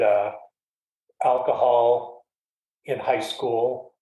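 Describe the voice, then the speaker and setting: Audible room echo surrounds the voice of a man. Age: 60s. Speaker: guest in recovery. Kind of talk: testimony.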